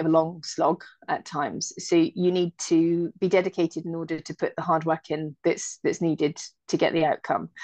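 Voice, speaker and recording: Over a quiet background, a woman with a British accent and a fairly low pitch speaks at a moderate pace in a flat monotone, the sound dry and close with no echo. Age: 30s. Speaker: airline pilot. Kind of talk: casual chat.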